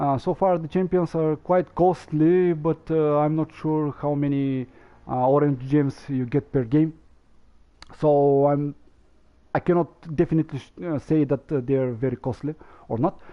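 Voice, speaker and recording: A man with a non-native accent talks at a fairly high pitch and a moderate pace, with ordinary pitch variation and long, frequent pauses. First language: not English. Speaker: gaming streamer. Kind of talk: gameplay commentary. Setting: live stream. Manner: halting, many fillers.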